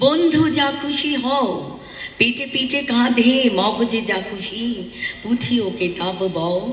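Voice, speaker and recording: A woman talks with a high pitch and lively intonation. Noticeable background noise runs behind her. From Bangladesh. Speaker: singer and organizer. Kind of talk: poetry reading.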